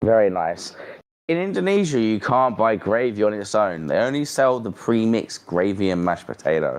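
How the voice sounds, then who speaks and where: The speaker has a British accent and lively intonation. The pace is fairly quick. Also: man, fairly low pitch for a man. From Britain. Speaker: streamer. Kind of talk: casual chat.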